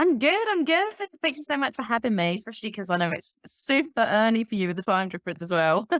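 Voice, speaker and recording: In an English accent, a woman speaks very fast at a fairly high pitch with very wide pitch swings. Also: hardly any pauses, dry, close sound with no echo. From Kent, south-east England. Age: 30s. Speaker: life coach and author. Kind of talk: podcast interview.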